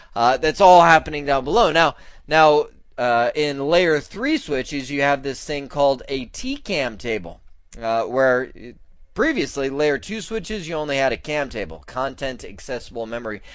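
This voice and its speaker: In a quiet background, a man with an unremarkable speaking voice talks at a moderate pace, his fairly high pitch carried by lively intonation. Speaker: network engineering instructor. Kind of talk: lecture. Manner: casual, conversational.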